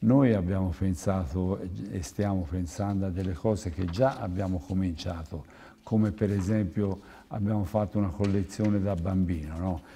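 A man speaks in a very deep, low voice with a dark, mellow tone. He sounds somewhat breathy, with light background noise. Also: ordinary pitch variation, moderate pace. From Tuscany, province of Florence. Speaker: clothing company owner; guest. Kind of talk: TV interview. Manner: halting. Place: studio. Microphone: lapel.

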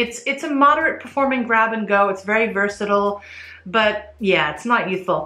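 Against audible room echo, a woman talks at a moderate pace. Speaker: fragrance reviewer. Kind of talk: casual review vlog. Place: home room.

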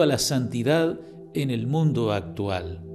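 A man speaks at a very slow pace. Faint music plays in the background. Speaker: priest. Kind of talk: sermon. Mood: calm, devotional. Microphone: handheld.

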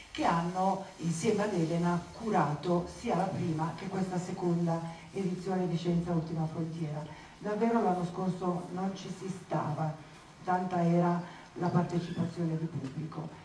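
A woman's fairly low pitch, monotone and flat in intonation, at a moderate pace with light background noise and audible room echo. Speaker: event host. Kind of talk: public opening speech. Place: hall.

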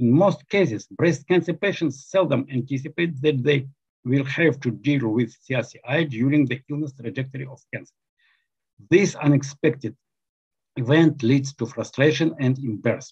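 At a moderate pace, a somewhat breathy man talks with ordinary pitch variation against a quiet background. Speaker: presenter. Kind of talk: lecture. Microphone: webcam.

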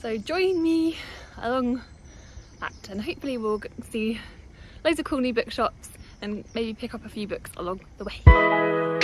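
Fairly slow speech broken by long, frequent pauses, dry with no echo, over clear music in the background. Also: woman. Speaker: vlogger. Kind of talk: casual vlog chat. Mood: cheerful, upbeat. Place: open country. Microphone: phone near.

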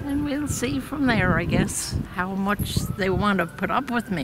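A woman talks at a fairly slow pace, and the sound is dry with no echo. Clear music plays in the background. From Prince Edward Island, Canada. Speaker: farmer and senior soccer player. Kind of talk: interview answer. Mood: cheerful, self-deprecating. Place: open country.

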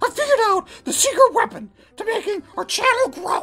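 Using a cartoonish character voice, a man speaks at a moderate pace. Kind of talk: puppet comedy sketch dialogue. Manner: impatient, brash.

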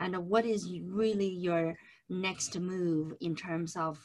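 A woman talks at a fairly slow pace. Her pitch variation is ordinary. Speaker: presenter. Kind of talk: webinar lecture. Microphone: webcam.

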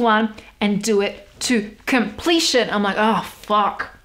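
This voice belongs to a woman. She speaks with an Australian accent. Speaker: goth model and small business owner. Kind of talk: casual podcast talk. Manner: casual, chatty, swears often. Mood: candid, some swearing. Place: home room.

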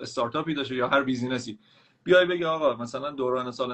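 With fairly even intonation, a man speaks at medium pitch in an ordinary speaking voice. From Iran. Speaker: caller. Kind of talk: casual chat. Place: home room. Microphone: video call.

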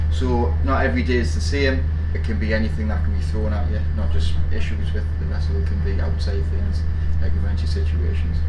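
A man talks fairly quickly while loud background noise fills the recording. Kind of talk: interview answer. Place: boat.

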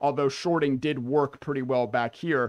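A man with fairly even intonation over a quiet background. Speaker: day trader streamer. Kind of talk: casual commentary walkthrough. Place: home room.

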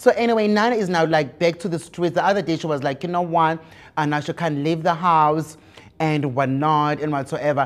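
The pace is fairly quick. Pitch variation is ordinary. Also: man. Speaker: show host. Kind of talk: gossip commentary. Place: studio. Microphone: lapel.

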